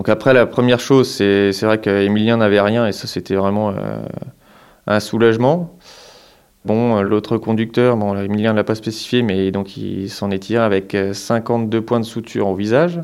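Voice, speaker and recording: Using fairly even intonation, a man with a fairly low pitch speaks at a fairly slow pace. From Marne, northeastern France. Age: 30s. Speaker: farmer. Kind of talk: interview testimony. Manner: halting, many hesitations.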